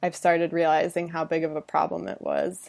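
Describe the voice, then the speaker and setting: With an American accent, a woman talks at a moderate pace in a plain, everyday voice, her pitch fairly low. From Michigan, Detroit suburbs. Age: 20s. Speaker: endurance and obstacle racer. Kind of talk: interview.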